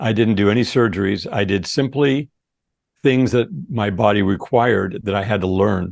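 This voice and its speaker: Pitched fairly low with ordinary variation, a man talks at a moderate pace in an unremarkable speaking voice. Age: 60s. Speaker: supplement company founder. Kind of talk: interview.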